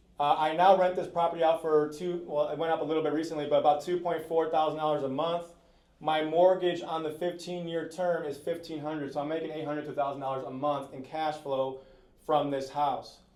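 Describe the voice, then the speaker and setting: A man talks at a fairly quick pace with fairly even intonation, and audible room echo surrounds his voice. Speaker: real estate investor, house flipper. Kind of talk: panel talk at live event. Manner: fast.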